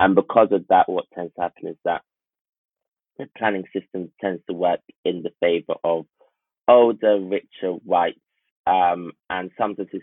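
A man talks at a moderate pace with a London accent. His pitch is very deep and low, and his intonation stays fairly even. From North London. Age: 20s. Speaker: town planner. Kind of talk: casual chat.

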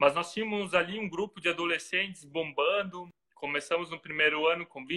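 A man with a Santa Catarina accent talks at a fairly quick pace and a high pitch, his intonation fairly even but his loudness swinging widely. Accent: southern Brazilian, Santa Catarina. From Brazil, Santa Catarina. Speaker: pastor and missionary. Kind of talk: casual interview.

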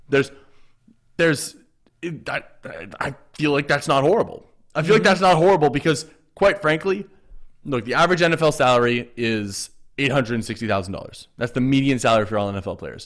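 A man's fairly high voice, fairly quick and lively in intonation, with long, frequent pauses. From Canada. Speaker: sports podcast host. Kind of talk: casual chat.

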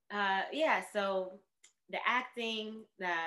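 Speaking with a New York accent, a woman has a bright, sharp tone at a medium pitch with ordinary pitch variation. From New York City (Bronx). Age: 30s. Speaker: artist and yoga teacher. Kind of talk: casual chat.

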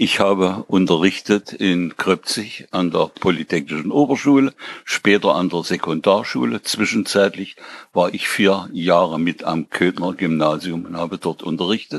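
A man with a very deep, low voice speaks fairly slowly with ordinary pitch variation. The sound is dry and close, with no echo. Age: 80s+. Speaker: retired teacher and musician. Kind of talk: casual chat. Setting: at home, at a table.

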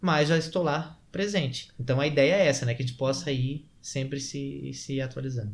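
A somewhat breathy, fairly high male voice at a moderate pace, with ordinary pitch variation and hardly any pauses. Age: 30s. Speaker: sales and persuasion trainer. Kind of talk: casual interview.

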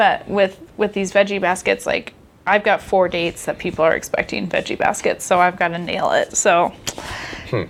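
Noticeable background noise sits behind a woman's voice. She speaks with an American accent at a fairly quick pace. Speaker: podcast host. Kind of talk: casual chat.

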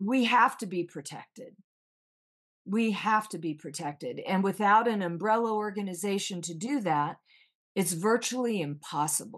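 With an American accent, a woman with an unremarkable speaking voice talks at a moderate pace with lively intonation. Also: medium pitch for a woman, quiet background. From US military family, raised on bases in US and Japan. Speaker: veteran and actress. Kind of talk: interview.

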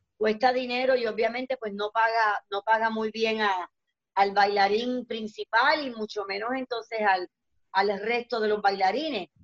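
A woman in a normal speaking voice, fairly high in pitch, at a fairly slow pace with ordinary pitch variation. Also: dry, close sound with no echo. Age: 50s. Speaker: dancer and entertainer. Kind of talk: casual chat.

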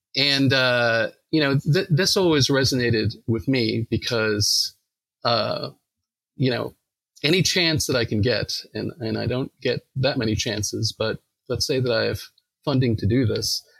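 A man speaks with an American accent at a medium pitch. His pitch varies in an ordinary way, and the sound is dry and close with no echo. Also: fairly slow pace. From New York, Long Island. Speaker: academic psychologist. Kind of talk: casual interview. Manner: hesitant, many fillers.

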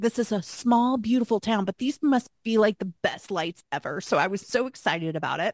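A woman with fairly high pitch sounds somewhat breathy. Her voice is dry and close, with no echo. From Arkansas. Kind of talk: casual conversational faith podcast.

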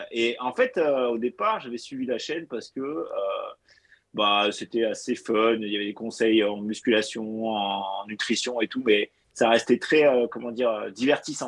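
A man's ordinary speaking voice, medium in pitch, with fairly even intonation and a fairly slow pace. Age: 30s. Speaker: fitness coach. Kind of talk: casual chat.

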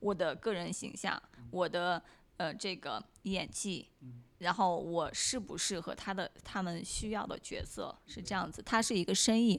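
With a plain, everyday voice, a woman talks at a moderate pace and medium pitch with ordinary pitch variation, recorded very cleanly against a silent background. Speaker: actress and model. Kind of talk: casual interview.

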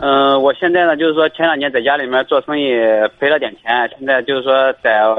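A fairly high-pitched male voice at a fairly quick pace, with fairly even intonation. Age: 20s. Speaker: caller, migrant worker. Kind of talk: call-in advice. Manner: hesitant, many fillers.

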